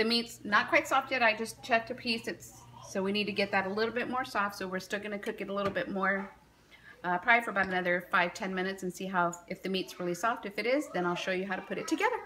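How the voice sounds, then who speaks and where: The speech comes at a very fast pace with ordinary pitch variation over light background noise. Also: woman. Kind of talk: cooking tutorial. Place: kitchen. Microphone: phone near.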